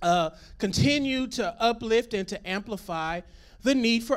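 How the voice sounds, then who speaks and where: The background is quiet while a man talks. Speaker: pastor. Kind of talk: sermon. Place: stage. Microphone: handheld.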